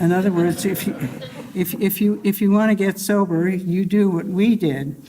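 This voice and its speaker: A woman talks with an American accent at a medium pitch. Noticeable background noise is present. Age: 80s+. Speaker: recovering alcoholic, academic. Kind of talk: testimony. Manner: slow; halting.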